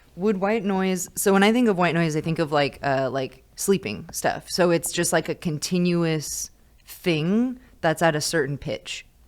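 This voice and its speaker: With an American accent, a woman with a fairly low pitch and an unremarkable speaking voice talks at a fairly slow pace with lively intonation, in a very clean recording with a silent background. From California, small mountain town. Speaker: high school teacher. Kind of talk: casual chat.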